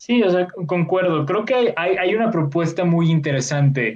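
His intonation moves in a lively way. This man keeps a fairly slow pace. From Mexico. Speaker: film podcast host. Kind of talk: casual chat. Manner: filler-heavy, hesitant.

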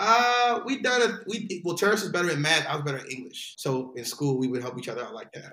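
A man's high-pitched voice with an American accent, very fast with hardly any pauses, very wide pitch swings, and big swings in loudness. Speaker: actor and stand-up comedian. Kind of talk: casual chat.

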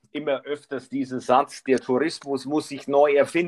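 A man's voice, fairly high in pitch. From Bavaria. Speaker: podcast host. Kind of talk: casual interview. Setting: live remote call. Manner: halting, many fillers.

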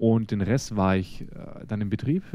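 Against a quiet background, a man talks in a medium-pitched voice with a dark, mellow tone. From Germany. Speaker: podcast co-host, retail store manager. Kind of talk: casual chat.

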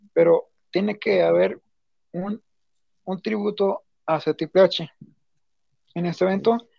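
Long, frequent pauses from a man speaking at a fairly slow pace. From Mexico. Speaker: wrestling fan commentator. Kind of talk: casual chat.

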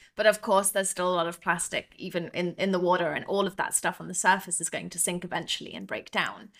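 Talking at a very fast pace, a woman with a southern English accent has a medium pitch and monotone, flat intonation. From southern England, Devon. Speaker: ocean cleanup business founder. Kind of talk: interview.

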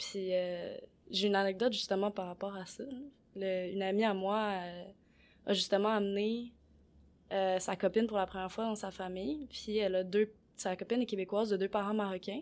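At a moderate pace and with long, frequent pauses, a woman with a medium pitch speaks in a fairly even intonation on a very clean recording with a silent background. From Quebec. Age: 20s. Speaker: podcast co-host. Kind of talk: casual discussion.

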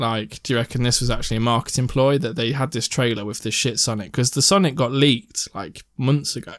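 A man of medium pitch with an English accent talks at a very fast pace with hardly any pauses and ordinary pitch variation. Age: 20s. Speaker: podcast host and gigging musician. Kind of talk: casual chat.

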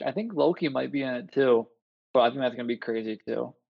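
A man with a Buffalo accent at a moderate pace. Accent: Western New York (Buffalo) American. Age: 30s. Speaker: physical therapist. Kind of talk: casual chat. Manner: hesitant, many fillers.

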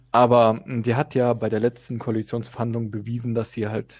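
A man with a plain, everyday voice at medium pitch and moderate pace, in a very clean recording with a silent background. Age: young. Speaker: podcast co-host, civil servant. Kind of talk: casual political discussion.

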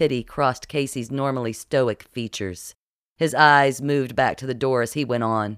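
The background stays quiet. The delivery is plain reading aloud.

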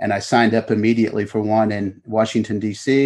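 A man speaks at a medium pitch with a Kentucky accent. His intonation stays monotone and flat against a quiet background. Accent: Kentucky Southern US. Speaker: author. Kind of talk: interview.

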